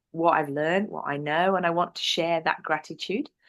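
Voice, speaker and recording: A woman with an English accent, fairly low pitch and fairly even intonation, against a quiet background. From northern England, North Yorkshire. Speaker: business presenter. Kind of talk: interview.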